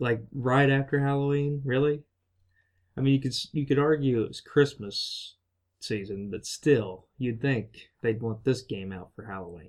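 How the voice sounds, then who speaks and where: Speaking fairly slowly, a man uses a normal speaking voice at a medium pitch with ordinary pitch variation. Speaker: podcast host. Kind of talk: casual chat.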